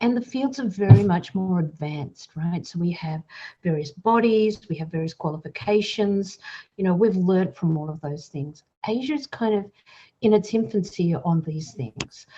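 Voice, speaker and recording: A woman speaks at a moderate pace and medium pitch. Her intonation is lively and her voice somewhat breathy. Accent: Australian. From Australia. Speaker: psychologist and helpline director. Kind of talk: podcast interview.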